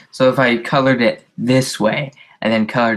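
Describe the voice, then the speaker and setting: This is a plain, everyday voice. A man speaks at a fairly slow pace with ordinary pitch variation. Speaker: comic artist streamer. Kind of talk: casual live-stream commentary while drawing. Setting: live stream via video hangout. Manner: casual, rambling.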